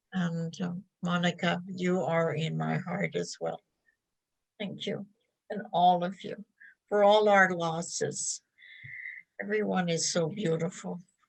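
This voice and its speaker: Breaking her flat, monotone delivery with long, frequent pauses, a woman speaks in a fairly low, somewhat breathy voice. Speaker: elder. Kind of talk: reflective talk.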